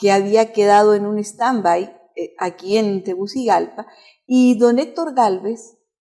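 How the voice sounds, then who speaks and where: A woman of medium pitch with a dark, mellow tone talks at a fairly slow pace with ordinary pitch variation. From Chile. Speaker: pastor and music teacher. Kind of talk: interview.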